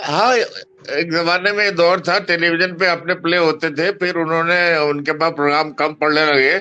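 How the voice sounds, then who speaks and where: A man with a high-pitched voice. His loudness stays very even, and his intonation is fairly even. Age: 80s+. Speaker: theatre veteran, playwright and actor. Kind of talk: interview.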